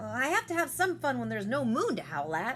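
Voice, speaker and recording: A woman performs a put-on character voice at a very fast pace. Clear background noise can be heard. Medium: read story.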